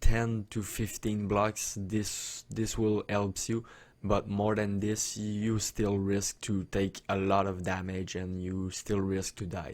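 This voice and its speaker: On a very clean recording with a silent background, a man speaks at a very slow pace in a fairly low, monotone voice with flat intonation. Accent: non-native. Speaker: gaming YouTuber. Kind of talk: tutorial. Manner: hesitant, many fillers.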